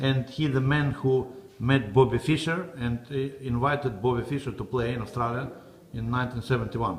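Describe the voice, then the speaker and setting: A man with a normal speaking voice talks at a moderate pace, his medium pitch carried by fairly even intonation. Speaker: interviewer. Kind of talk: interview questions.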